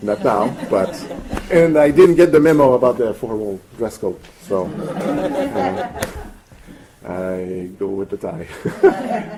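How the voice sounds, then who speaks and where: In a Quebec accent, the speaker talks at a very slow pace with very wide pitch swings over noticeable background noise. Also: man, fairly high pitch for a man. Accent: French-Canadian accent in English. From Canada, French-speaking. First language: French. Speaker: language rights commissioner. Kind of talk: speech at an event. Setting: event with audience. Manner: halting, many fillers and repeats.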